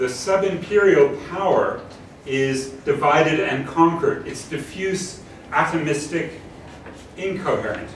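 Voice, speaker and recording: A man's high-pitched, fairly slow speech with fairly even intonation and long, frequent pauses, amid audible room echo and noticeable background noise. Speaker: professor. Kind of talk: lecture.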